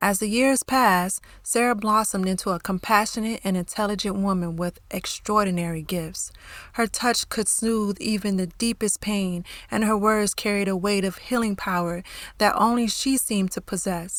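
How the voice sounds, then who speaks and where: A plain, everyday voice speaks at a moderate pace with fairly even intonation. The recording is very clean, with a silent background. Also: woman, medium pitch for a woman. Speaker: author and narrator. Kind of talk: audio drama narration.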